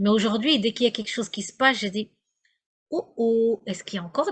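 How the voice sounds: The voice has a slightly husky edge and moves at a fairly quick pace. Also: woman.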